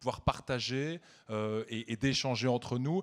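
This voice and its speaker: A man with a Belgian accent speaks at a medium pitch. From Belgium. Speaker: media executive, award presenter. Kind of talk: gala award speech.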